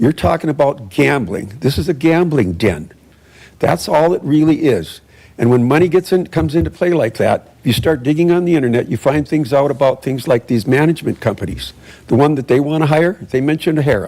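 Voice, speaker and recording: Lively in intonation, a man speaks with a dark, mellow tone, vocal fry and very even loudness. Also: fairly high pitch for a man. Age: 70s. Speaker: public commenter. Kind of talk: public comment at council meeting. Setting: city council meeting. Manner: halting, many restarts.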